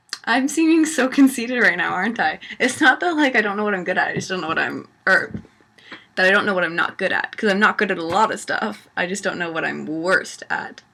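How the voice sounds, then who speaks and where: A woman's very fast speech with a Canadian accent and very wide pitch swings. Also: medium pitch for a woman. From Canada. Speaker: vlogger. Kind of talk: casual Q&A vlog. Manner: rambling, hesitant with many fillers.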